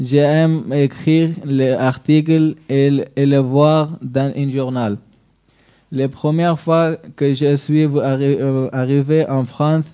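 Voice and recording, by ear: A man talks slowly at a medium pitch, his tone dark, mellow, clear and smooth. His intonation stays fairly even.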